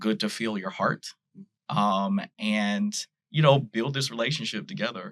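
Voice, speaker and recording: A man with a Southern US accent, very wide pitch swings and a fairly quick pace. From US South, Nashville, Tennessee. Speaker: pastor. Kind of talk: casual chat.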